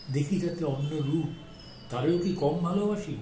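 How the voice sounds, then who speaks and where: Noticeable background noise surrounds this recording. The man in it has a high-pitched voice. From Kolkata. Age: 80s+. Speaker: amateur poet. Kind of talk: poetry reading.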